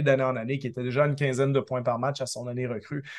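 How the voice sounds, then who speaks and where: This man has a normal speaking voice at a medium pitch. He talks at a fairly quick pace against a quiet background. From Quebec. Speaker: basketball analyst. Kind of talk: radio sports analysis.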